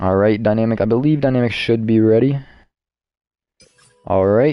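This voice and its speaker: Here a man talks at a moderate pace with a medium pitch. His loudness stays very even. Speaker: esports race commentator. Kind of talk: live commentary. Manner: animated.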